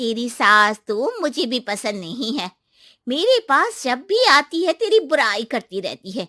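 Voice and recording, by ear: Using a cartoonish character voice, a woman speaks with a bright, sharp tone at a fairly high pitch with big swings and a fairly slow pace, the sound dry and close with no echo on a very clean recording with a silent background.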